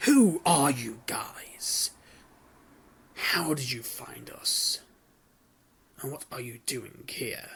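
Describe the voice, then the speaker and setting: A man's put-on character voice, raspy and fairly high-pitched, at a very slow pace with long, frequent pauses. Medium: solo performance.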